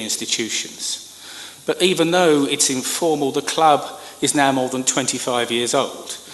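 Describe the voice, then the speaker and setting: A man with a British accent speaks with ordinary pitch variation, his voice carrying audible room echo amid noticeable background noise. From Britain. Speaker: government communications professional. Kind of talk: conference speech. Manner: formal.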